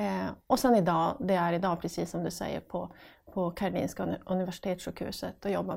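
Speaking at a fairly quick pace, a woman talks with a northern Swedish accent. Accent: northern Swedish Piteå dialect. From northern Sweden, Piteå. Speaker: recruitment section manager at a hospital. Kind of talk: casual interview.

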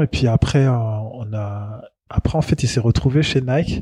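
Somewhat breathy and dark, mellow in tone, a man talks at a medium pitch with ordinary pitch variation. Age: 40s. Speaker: journalist and marketing consultant. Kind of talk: casual chat.

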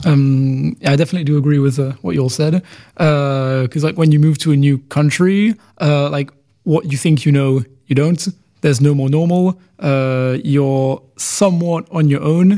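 With a London accent, a man talks at a moderate pace in a dark, mellow tone, fairly high in pitch, with ordinary pitch variation and very even loudness. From London, England. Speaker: international student. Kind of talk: casual interview. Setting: studio.

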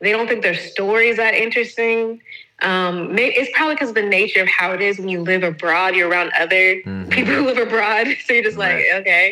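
Over noticeable background noise, a woman with an American accent speaks very fast at a medium pitch, with ordinary pitch variation. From US South. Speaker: podcast host. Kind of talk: casual chat. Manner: animated.

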